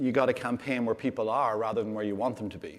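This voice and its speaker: A man with an Irish accent speaks in fairly even intonation. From Ireland. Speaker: LGBT rights campaign director. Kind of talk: panel interview.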